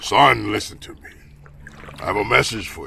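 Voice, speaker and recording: Using a put-on character voice, a man speaks raspily at a moderate pace. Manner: loud, thunderous.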